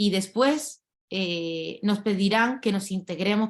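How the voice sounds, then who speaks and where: With an unremarkable speaking voice, a woman talks at medium pitch and with fairly even intonation. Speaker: lawyer and activist. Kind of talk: panel talk. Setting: video call.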